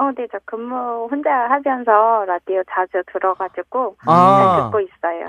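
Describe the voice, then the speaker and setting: A woman with a fairly high voice talks at a very slow pace, with ordinary pitch variation and hardly any pauses. The background is quiet. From Bucheon, Gyeonggi Province. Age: 40s. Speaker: radio call-in quiz contestant. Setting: phone.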